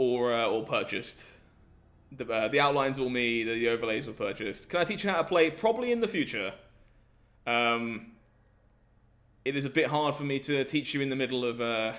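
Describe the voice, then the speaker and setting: A man with an English accent speaks at a fairly quick pace in a medium pitch, with ordinary pitch variation and long, frequent pauses. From southern England. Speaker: gaming streamer. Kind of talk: live stream chat with viewers. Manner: animated.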